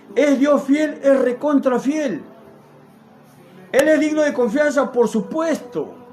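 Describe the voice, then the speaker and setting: Fairly even in intonation, a man's voice proceeds at a fairly slow pace with noticeable background noise behind it. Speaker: lay preacher. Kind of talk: sermon. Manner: stuttering; spontaneous, unrehearsed.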